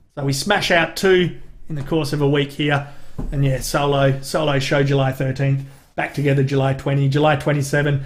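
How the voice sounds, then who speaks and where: In a strong Australian accent, a man with a fairly high, somewhat breathy voice speaks at a fairly quick pace in a flat monotone, with audible room echo. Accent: broad Australian. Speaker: comedy YouTuber and podcast host. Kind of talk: casual live-stream chat. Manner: casual, sweary.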